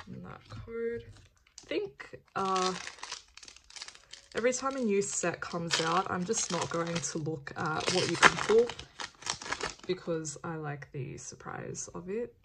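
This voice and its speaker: A woman with a fairly low pitch speaks very slowly in a relaxed tone, using lively intonation, big swings in loudness and long, frequent pauses amid noticeable background noise. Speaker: card opening youtuber. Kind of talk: casual unboxing commentary. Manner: casual, relaxed.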